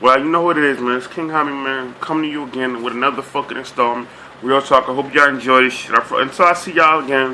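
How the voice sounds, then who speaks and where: Noticeable background noise sits behind a man's fairly high voice. He talks at a very fast pace with fairly even intonation. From Boston, Dorchester. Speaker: vlogger. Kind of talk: casual monologue vlog.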